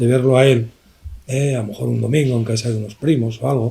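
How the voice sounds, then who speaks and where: A man speaks at a fairly quick pace. His tone is dark and mellow, and somewhat breathy. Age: 70s. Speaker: art professor. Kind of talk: book presentation discussion.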